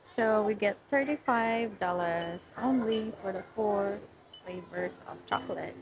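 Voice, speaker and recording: Noticeable background noise fills the recording. Through it, a woman talks at a very slow pace. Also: medium pitch for a woman, ordinary pitch variation. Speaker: travel vlogger. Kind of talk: casual vlog chat. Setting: hotel lobby.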